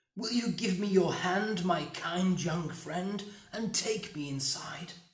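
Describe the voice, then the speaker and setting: Soft-spoken and fairly slow, a put-on character voice sits at a middle pitch with slight echo. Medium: read story. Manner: soft-spoken, menacing.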